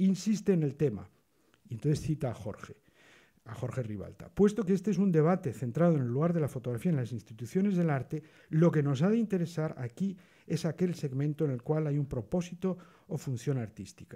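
Over a quiet background, a man talks at a fairly quick pace with a fairly high pitch, lively intonation and a dark, mellow tone. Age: 60s. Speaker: photography historian on a panel. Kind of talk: panel discussion. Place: hall. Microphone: podium.

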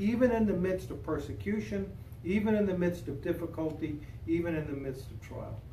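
A man talks at a moderate pace with lively intonation. Light background noise and audible room echo can be heard. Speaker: pastor leading a Bible study. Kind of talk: prayer, then informal teaching. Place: hall. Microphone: camera far.

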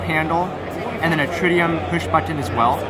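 Over loud background noise, a man talks at a very fast pace with a dry sound that has no echo. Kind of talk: interview answer. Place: hall. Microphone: phone near.

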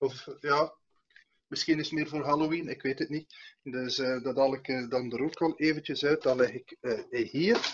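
A man with a normal speaking voice talks at a fairly slow pace and a fairly high pitch. His intonation is fairly even, with light background noise. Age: 40s. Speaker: comedian, show host. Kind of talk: casual chat. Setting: video call. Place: home room. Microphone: video call.

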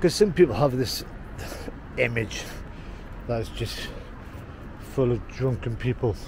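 A man with an English accent speaks at a medium pitch and a fairly slow pace, with lively intonation and long, frequent pauses. The sound is dry with no echo, though there is noticeable background noise. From England. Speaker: travel vlogger. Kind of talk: walking vlog narration. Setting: outdoors, walking city at night. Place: street. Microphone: phone near.

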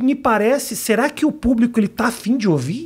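A man in a Brazilian accent, very wide pitch swings, quiet background. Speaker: comedian and show host. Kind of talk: casual interview. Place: studio. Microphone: studio mic.

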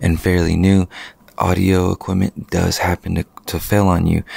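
A quiet man speaks in a very deep, low voice with monotone, flat intonation. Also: dry sound with no echo. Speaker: wedding photographer and videographer, business owner. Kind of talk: casual vlog monologue. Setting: at home late at night. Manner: quiet, keeping voice low. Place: home room. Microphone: handheld.

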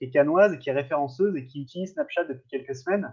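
Over a quiet background, a man talks at a very fast pace with a fairly high pitch and ordinary pitch variation. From France, Lyon; France. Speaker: startup ecosystem commentator. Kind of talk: casual chat. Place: home room. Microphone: video call.

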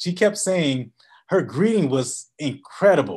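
Over a quiet background, a man speaks with lively intonation. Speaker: business coach. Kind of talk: webinar presentation.

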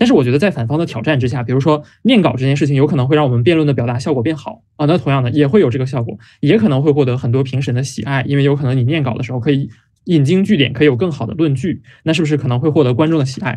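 Against a quiet background, a man talks very fast in a dark, mellow, somewhat breathy voice at a fairly high pitch with ordinary pitch variation. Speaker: debate judge. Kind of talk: judge's verbal adjudication. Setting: video call. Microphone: webcam.

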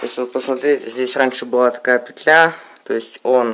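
The speech moves at a fairly slow pace with fairly even intonation, over light background noise. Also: man. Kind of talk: casual show-and-tell explanation. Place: home room. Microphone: phone near.

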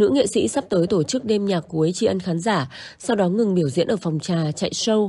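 A dark, mellow tone with lively intonation. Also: woman. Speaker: news narrator. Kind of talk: news reading.

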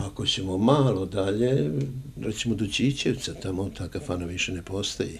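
A man's somewhat breathy voice, moderately paced, its pitch varying in an ordinary way. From Serbia, Niš; Serbia. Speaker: journalist and former radio host; journalist, former radio host. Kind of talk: casual interview. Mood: warm, anecdotal storytelling. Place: home room. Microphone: handheld.

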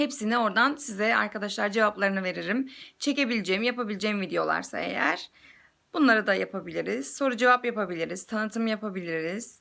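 Fairly quick speech from a woman, fairly high and bright, sharp in tone, with vocal fry, ordinary pitch variation, and a very clean recording over a silent background. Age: 20s. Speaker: YouTuber and mother. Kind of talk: casual vlog introduction. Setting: selfie video at home.

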